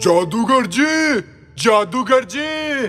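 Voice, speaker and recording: Pitching his put-on character voice extremely high, a man performs a role. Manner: shouting.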